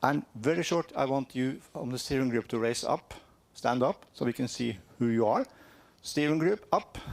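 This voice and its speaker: A man with a strong Norwegian accent, medium pitch, ordinary pitch variation and a moderate pace, in a dry, close sound with no echo. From Norway. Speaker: cultural heritage organisation representative. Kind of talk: conference presentation. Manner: halting.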